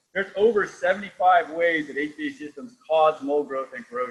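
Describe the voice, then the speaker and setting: Fairly high in pitch, a man speaks at a fairly quick pace with ordinary pitch variation. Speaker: company founder presenting technology. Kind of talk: technical presentation in online workshop. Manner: fast; animated.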